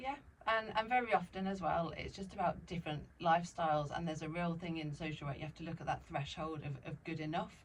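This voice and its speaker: Ordinary pitch variation marks this woman's delivery. She talks at a very fast pace. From Sussex, southern England. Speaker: former social worker turned business owner. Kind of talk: interview chat.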